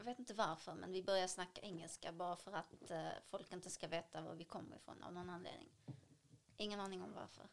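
A woman's medium-pitched voice with vocal fry, fairly even intonation, and a fairly quick pace. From Syria. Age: 20s. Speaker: cultural activist and dancer. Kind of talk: interview.

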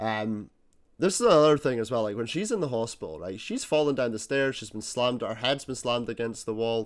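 A man with a Scottish accent at a fairly quick pace, ordinary pitch variation, and a very clean recording with a silent background. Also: medium pitch for a man. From Scotland. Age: 20s. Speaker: podcast host. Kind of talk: casual chat.

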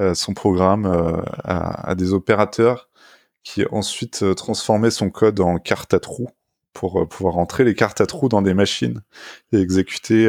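On a very clean recording with a silent background, a man speaks with a fairly low pitch and ordinary pitch variation. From France, Paris region (Essonne). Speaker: tech journalist. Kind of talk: interview. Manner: halting, with frequent repetitions.

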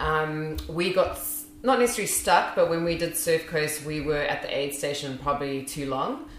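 A woman speaks at a moderate pace in a very deep, low voice with ordinary pitch variation and hardly any pauses, over noticeable background noise. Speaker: crew member for the race. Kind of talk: casual interview.

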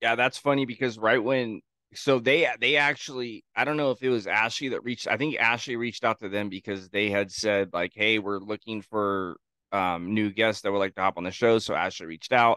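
A loud man with a bright, sharp tone, medium pitch and ordinary pitch variation, at a fairly quick pace. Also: dry, close sound with no echo. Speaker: podcast guest, co-host. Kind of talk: casual chat.

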